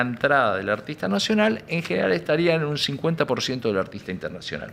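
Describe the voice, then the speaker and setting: A man speaks in an Argentine accent. His pitch swings very widely. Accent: Argentine Spanish (Rioplatense). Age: 70s. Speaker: music industry businessman. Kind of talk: interview. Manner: hesitant, many fillers.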